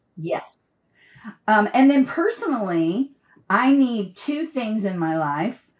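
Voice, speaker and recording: Loud and at a very slow pace, a woman with a fairly high pitch makes very wide pitch swings, leaving long, frequent pauses. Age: 60s. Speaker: business trainer and coach. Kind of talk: interview conversation. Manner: loud laugh.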